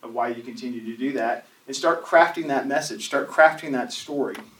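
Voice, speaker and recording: A man with a fairly high pitch talks at a fairly quick pace, with audible room echo and noticeable background noise. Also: big swings in loudness. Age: 40s. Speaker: church class teacher. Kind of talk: lecture.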